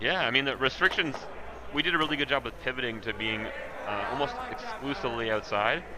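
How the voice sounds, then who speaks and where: A man with a Canadian accent, with audible room echo and noticeable background noise. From Canada, southwestern Ontario (Exeter). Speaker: curling commentator. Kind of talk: live commentary.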